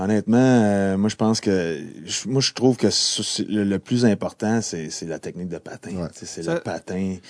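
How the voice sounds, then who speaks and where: A man with a fairly low pitch and a dark, mellow tone talks at a moderate pace with ordinary pitch variation, in a dry, close sound with no echo against a quiet background. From Quebec. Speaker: retired pro hockey player. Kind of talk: casual chat.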